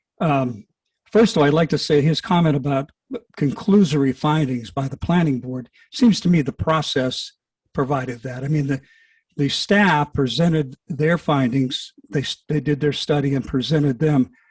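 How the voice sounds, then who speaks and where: Somewhat breathy male speech, fairly high-pitched with ordinary variation, at a moderate pace, dry and close with no echo. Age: old. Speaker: public commenter at county meeting. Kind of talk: public comment at hearing. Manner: halting.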